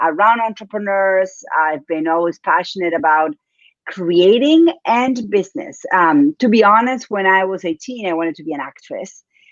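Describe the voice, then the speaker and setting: This woman has an Argentine accent and speaks at a fairly slow pace. Her medium-pitched voice carries lively intonation. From Argentina, Buenos Aires. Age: 40s. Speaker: business coach. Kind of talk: interview.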